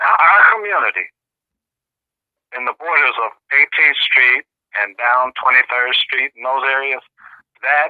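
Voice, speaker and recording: A man's bright, sharp tone comes through a dry, close sound with no echo. He speaks at a fairly slow pace, with long, frequent pauses. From US Midwest, Kansas City, Missouri. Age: 60s. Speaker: Cold War veterans advocate. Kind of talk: interview.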